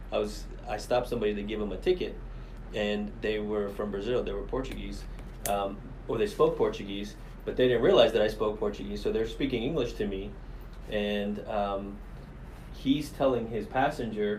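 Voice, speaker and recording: With an American accent, a man talks at a moderate pace, leaving long, frequent pauses, and the room echo is audible. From Miami, Florida. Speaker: police commander. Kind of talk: podcast interview.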